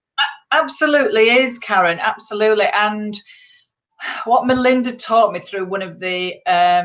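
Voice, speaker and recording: Speaking with a Yorkshire accent, a woman uses a fairly high pitch and lively intonation at a fairly slow pace. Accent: Yorkshire accent, can sound abrupt. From northern England, Bradford, West Yorkshire. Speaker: motivational speaker and poet, stroke survivor. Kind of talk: interview. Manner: direct.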